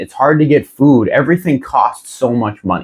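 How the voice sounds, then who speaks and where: Here is a man with a normal speaking voice. His intonation is lively and his pace moderate. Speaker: self-help youtuber. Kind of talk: reading aloud with commentary. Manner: casual, conversational.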